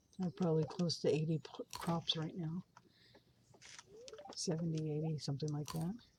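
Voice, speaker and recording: A woman mumbling at a fairly quick pace with an American accent, her pitch very deep and low. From California. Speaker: gaming streamer. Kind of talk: gameplay commentary. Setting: live stream.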